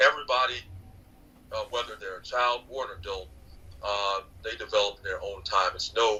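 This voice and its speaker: A man speaks at a moderate pace with an American accent. His loudness swings widely, and he leaves long, frequent pauses. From United States. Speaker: author and podcaster. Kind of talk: podcast interview. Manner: halting, many fillers.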